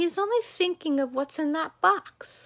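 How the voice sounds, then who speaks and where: A squeaky put-on character voice from a woman, extremely high-pitched, at a moderate pace. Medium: read story. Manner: petulant.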